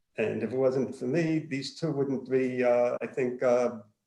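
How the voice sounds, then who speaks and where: A man with a Brooklyn accent speaks at medium pitch with a dark, mellow tone. His pace is fairly slow and his pitch variation ordinary. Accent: Brooklyn New York. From Brooklyn, New York. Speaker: former chiropractor and marketing business owner. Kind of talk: casual self-introduction on virtual networking call.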